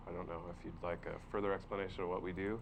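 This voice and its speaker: Mumbling at a fairly quick pace, a man with a very deep, low voice is heard with audible room echo. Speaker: workforce development presenter. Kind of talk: public meeting presentation. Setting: county board workshop. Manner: hesitant with many fillers.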